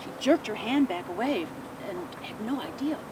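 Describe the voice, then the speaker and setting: A woman with an American accent speaks with very wide pitch swings over noticeable background noise. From Midwest US. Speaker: ghost tour guide. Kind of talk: ghost story telling.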